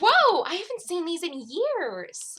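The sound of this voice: A woman does a squeaky put-on character voice at an extremely high pitch, swinging very widely in pitch at a fairly slow pace.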